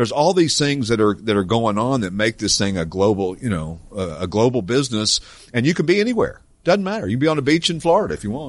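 Speaking very fast with a Tennessee accent, a man at medium pitch makes very wide pitch swings over a quiet background. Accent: Southern US (Tennessee). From East Tennessee. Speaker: classic car dealership owner and podcast host. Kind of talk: casual chat. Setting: studio with live audience.

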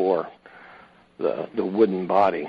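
A man's fairly low-pitched voice, an unremarkable speaking voice. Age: 60s. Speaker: Packard truck collector. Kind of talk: interview chat. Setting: phone call.

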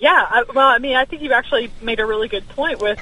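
A woman with a fairly high voice talks amid noticeable background noise. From Alabama. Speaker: political commentator. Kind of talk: radio interview.

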